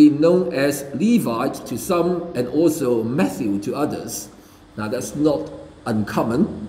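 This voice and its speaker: A man's very slow speech with lively intonation and audible room echo. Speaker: preacher. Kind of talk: sermon. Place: church. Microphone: podium.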